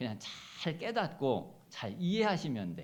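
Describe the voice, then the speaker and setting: A man with vocal fry and a fairly high voice speaks at a fairly slow pace in a room with audible echo. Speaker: pastor. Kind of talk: sermon. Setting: church. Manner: forceful intonation; hesitant, many fillers.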